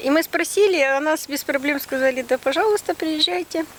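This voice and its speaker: Through noticeable background noise, a woman with a high voice speaks at a moderate pace with lively intonation. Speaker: nature reserve botanist. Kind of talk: interview answer.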